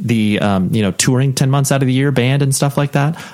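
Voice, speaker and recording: With clear noise behind him, a man talks rather quickly. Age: 30s. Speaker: podcast host. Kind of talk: interview conversation.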